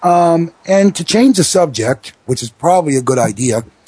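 Lively intonation marks this man's somewhat breathy voice. He keeps a moderate pace. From New York, the Bronx. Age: 30s. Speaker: wrestling radio host. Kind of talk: casual talk radio.

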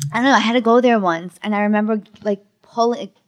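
A woman speaks in a Bronx accent. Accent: Bronx New York, noticeable. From the Bronx, New York. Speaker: stand-up comedian. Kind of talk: casual comedic interview.

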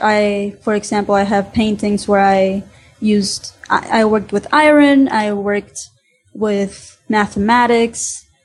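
Somewhat breathy, a woman with a fairly high pitch talks at a fairly slow pace with fairly even intonation. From Honduras. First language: Spanish. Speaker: student and painter. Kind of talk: interview.

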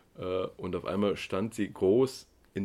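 A man's very deep, low voice with a dark, mellow tone. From East Germany. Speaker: media trading entrepreneur. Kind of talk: interview.

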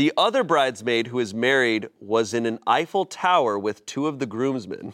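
In a plain, everyday voice with lively intonation, the speech moves at a moderate pace with hardly any pauses, dry and close with no echo on a very clean recording with a silent background. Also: man, medium pitch for a man. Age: 30s. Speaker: comedy podcast host. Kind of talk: reading aloud.

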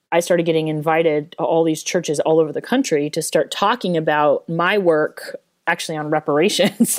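With an American accent, a woman speaks at a fairly quick pace in an unremarkable speaking voice, fairly low in pitch with ordinary pitch variation. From US, Denver, Colorado. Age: 40s. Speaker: author and professor. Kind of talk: interview. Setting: remote call.

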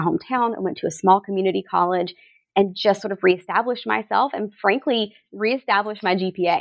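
Speaking at a fairly quick pace with ordinary pitch variation, an unremarkable speaking voice in an American accent comes through a very clean recording with a silent background. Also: woman. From rural coastal Georgia, US South. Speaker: associate dean for student success. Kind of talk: casual interview.

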